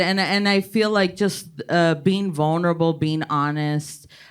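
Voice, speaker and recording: A woman with an American accent, fairly low in pitch, at a fairly slow pace with hardly any pauses, fairly even intonation and very even loudness. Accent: South Texas Mexican American English. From Laredo, Texas. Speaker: stand-up comedian. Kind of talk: panel discussion.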